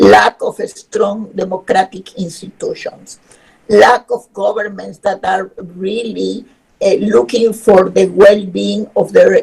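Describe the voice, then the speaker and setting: A woman with a Spanish accent speaks at a very slow pace. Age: 70s. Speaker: human rights expert. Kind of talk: webinar lecture.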